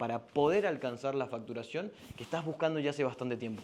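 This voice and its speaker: Delivered at a fairly quick pace, the speech comes in an unremarkable speaking voice. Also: man. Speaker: business coach. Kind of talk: sales pitch.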